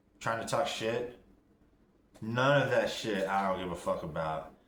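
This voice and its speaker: Audible room echo follows a man as he talks at a fairly slow pace. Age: 40s. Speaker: vlogger in recovery. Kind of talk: casual video diary. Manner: mumbling.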